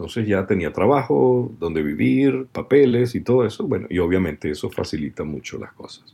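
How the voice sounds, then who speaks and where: Very deep, low male voice with a dark, mellow tone and vocal fry, very wide pitch swings, moderate pace, and hardly any pauses. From Venezuela. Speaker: voice actor. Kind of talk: interview.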